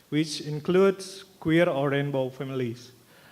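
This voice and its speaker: A man with an Indonesian accent, fairly high in pitch, at a fairly slow pace with fairly even intonation, amid noticeable background noise. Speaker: graduate student presenter. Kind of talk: conference presentation. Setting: stage with audience. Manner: halting, reading from notes.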